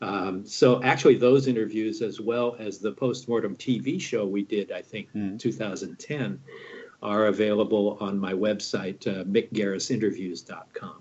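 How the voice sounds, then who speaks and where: A man with an American accent talks at a fairly slow pace, his fairly low pitch showing ordinary variation. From United States. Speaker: horror film director and producer. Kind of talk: casual interview. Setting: video call.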